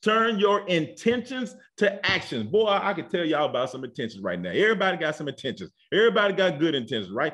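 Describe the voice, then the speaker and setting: A high-pitched man with a warm tone, very wide pitch swings and a very fast pace. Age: 50s. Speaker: pastor. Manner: warm, folksy and rhythmic, punctuating points with frequent amens; repetitive run-on delivery with stammered restarts.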